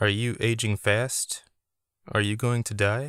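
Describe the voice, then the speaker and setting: Putting on a raspy character voice, a man speaks at a medium pitch in a monotone, flat delivery at a fairly slow pace. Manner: quiet.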